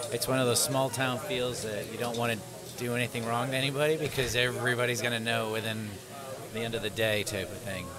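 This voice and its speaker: A man at a very fast pace, with music in the background. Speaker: guest. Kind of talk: interview answer. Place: cafe. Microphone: studio mic.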